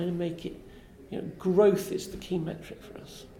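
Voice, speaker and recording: Over noticeable background noise and audible room echo, a woman speaks fairly slowly in a medium pitch with monotone, flat intonation. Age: 50s. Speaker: science park director. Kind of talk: interview. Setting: festival event.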